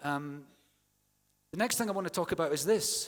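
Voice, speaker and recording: A man talks in a Scottish accent with an animated tone and lively intonation. The recording is very clean, with a silent background. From Scotland. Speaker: university English teaching academic. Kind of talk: conference plenary talk. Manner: conversational, animated.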